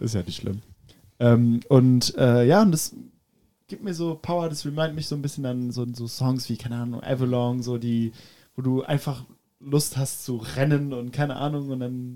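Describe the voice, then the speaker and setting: A man's dark, mellow voice at medium pitch, moderate in pace, with ordinary pitch variation. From France, Paris. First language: French (speaking German). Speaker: drummer. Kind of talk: casual chat.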